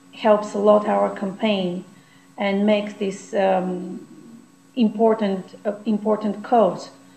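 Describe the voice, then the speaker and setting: With a Bulgarian accent, a woman speaks very slowly in a monotone, flat delivery, with audible room echo and light background noise. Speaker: campaign coordinator. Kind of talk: video message. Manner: halting. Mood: earnest, calm. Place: home room. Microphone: webcam.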